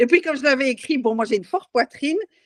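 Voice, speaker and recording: The woman's intonation is lively. Her sound is dry and close, with no echo. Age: 60s. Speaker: challenge participant. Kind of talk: testimony. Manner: halting.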